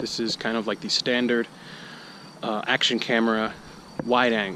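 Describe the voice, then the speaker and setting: Moderately paced talk with noticeable background noise behind it. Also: man. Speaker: vlogger testing camera gear. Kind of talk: casual vlog tutorial. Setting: outdoors, walking.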